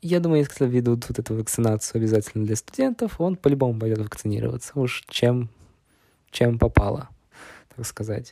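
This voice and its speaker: His tone is dark and mellow, at a medium pitch. The man uses ordinary pitch variation. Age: 20s. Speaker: podcast host, university student. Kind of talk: casual monologue. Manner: halting, with many fillers.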